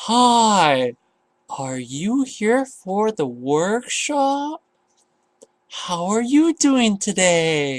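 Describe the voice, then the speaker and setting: A man puts on a character voice at a high pitch, with very wide pitch swings. He speaks at a very slow pace. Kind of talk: overly simplified. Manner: slow, condescending.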